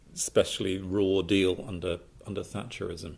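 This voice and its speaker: The speaker is a man with a somewhat breathy voice. He talks at a moderate pace. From southeast England. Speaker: writer. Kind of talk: public talk.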